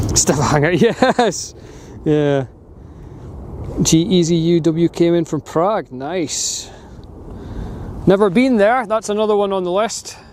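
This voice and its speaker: With a northeast Scottish accent, a man speaks at a high pitch and a very slow pace, using lively intonation and long, frequent pauses over noticeable background noise. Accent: Scottish (north-east). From Scotland, Aberdeen. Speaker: live streamer, plane spotter. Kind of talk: live stream commentary. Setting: outdoors on a hill by an airport. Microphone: wind muffler on microphone.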